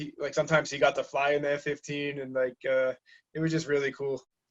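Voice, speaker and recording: Talking at a very fast pace, a man with a fairly high pitch and a slight Massachusetts accent keeps his intonation monotone and flat. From southeastern Massachusetts (Taunton). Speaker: navy sailor. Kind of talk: interview. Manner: halting, many fillers.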